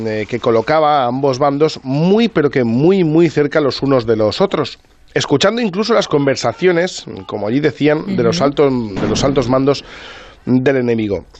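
In an ordinary speaking voice, the speaker moves at a moderate pace with lively intonation. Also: man. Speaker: radio reporter and storyteller. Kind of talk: storytelling radio segment.

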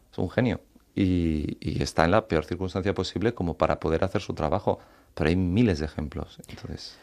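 Against a quiet background, a man with a very deep, low pitch talks at a fairly quick pace with ordinary pitch variation. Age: 30s. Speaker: author living with chronic illness. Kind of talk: interview.

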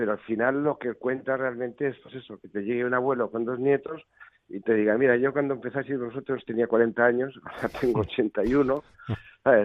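A normal speaking voice moves at a moderate pace with fairly even intonation. Its loudness swings widely. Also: man, medium pitch for a man. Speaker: rock musician. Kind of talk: interview.

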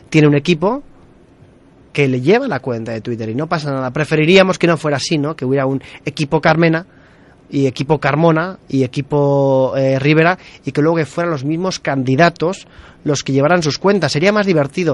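With a normal speaking voice, a man talks fairly quickly at a fairly high pitch, using ordinary pitch variation. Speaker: radio host. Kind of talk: live radio show. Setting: studio.

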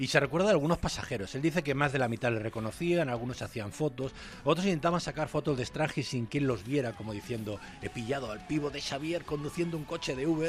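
This man speaks at a very fast pace with a fairly high pitch. His pitch variation is ordinary. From Galicia, Spain. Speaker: basketball commentator. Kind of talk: casual chat.

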